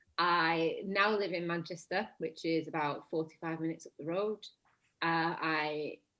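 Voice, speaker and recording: A woman speaks in a Lancashire accent at a fairly slow pace. Her fairly low voice is monotone, with flat intonation. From northern England, Blackburn, Lancashire. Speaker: actress. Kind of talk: casual chat.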